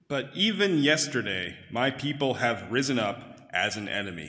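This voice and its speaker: A man with an unremarkable speaking voice, medium-pitched, with lively intonation. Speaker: scripture reader. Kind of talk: reading aloud. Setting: church.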